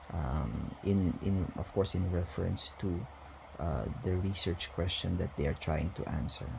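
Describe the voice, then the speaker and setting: A very deep, low male voice at a fairly slow pace, with audible room echo. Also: ordinary pitch variation. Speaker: university lecturer. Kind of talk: lecture. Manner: hesitant, many fillers.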